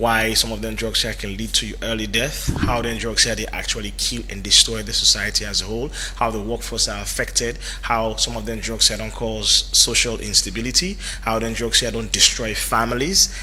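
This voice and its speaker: A man talks amid noticeable background noise, with audible room echo around him. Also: fairly quick pace. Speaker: radio talk show host. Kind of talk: radio talk show interview. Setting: radio studio.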